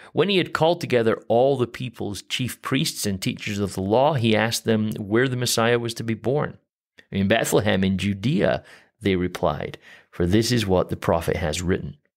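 Very clean and set against a silent background, this recording captures a man with a normal speaking voice. He speaks at a medium pitch and a moderate pace, with lively intonation. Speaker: podcast host. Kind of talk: casual chat.

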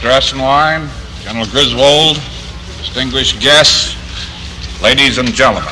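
Noticeable background noise runs under a man with an American accent who takes long, frequent pauses. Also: moderate pace. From Pennsylvania, US. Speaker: general and company president. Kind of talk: formal ceremonial address.

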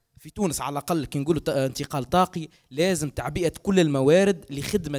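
Against a quiet background, a man talks with a Tunisian accent. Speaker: researcher; guest. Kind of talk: panel discussion. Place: hall. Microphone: handheld.

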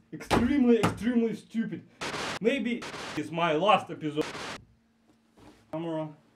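A high-pitched man with a Russian accent, at a moderate pace with long, frequent pauses, over noticeable background noise. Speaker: vlogger. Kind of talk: casual vlog talk to camera. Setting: outdoors and underground, on location.

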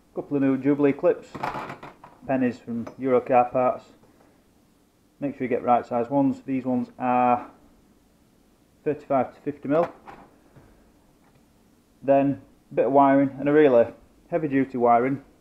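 With long, frequent pauses, a man speaks in a dark, mellow tone and a monotone, flat intonation. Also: moderate pace. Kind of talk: tutorial. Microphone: phone near.

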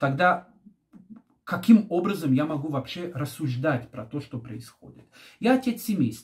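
Against a quiet background, a man with a fairly high voice and a calm tone speaks at a fairly slow pace, with very wide pitch swings, big swings in loudness and long, frequent pauses. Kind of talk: commentary on current events. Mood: serious, reflective. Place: home room. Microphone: phone near.

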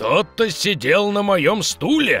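Faint music plays behind a man doing a put-on character voice, pitched high for a man and delivered at a fairly slow pace. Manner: growling, scary.

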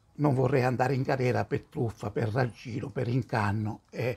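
A man with a somewhat breathy voice talks at a moderate pace with ordinary pitch variation. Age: 70s. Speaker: commentator on religious matters; religious commentator. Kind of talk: video response monologue. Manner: hesitant, many fillers. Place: home room.

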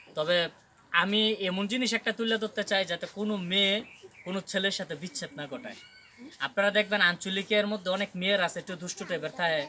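A man uses a raised, projected voice at high pitch. His intonation stays fairly even. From Bangladesh, Brahmanbaria. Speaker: social media content creator. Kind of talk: casual interview.

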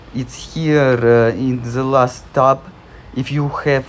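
A man's medium-pitched voice with a Russian accent. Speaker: tech tutorial maker. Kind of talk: casual screen-recording tutorial. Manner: hesitant, many filler sounds.

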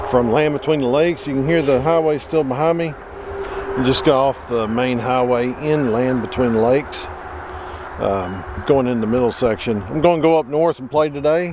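Noticeable background noise surrounds a man speaking at a moderate pace. The sound is dry with no echo, and his pitch varies in an ordinary way. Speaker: outdoor vlogger. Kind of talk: casual vlog chat. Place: open country. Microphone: phone near.

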